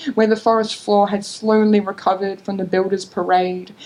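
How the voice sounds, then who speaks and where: Monotone and flat, a woman speaks with an Australian accent. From North Queensland, Australia. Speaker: creative writing student. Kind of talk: short story reading at a literary event.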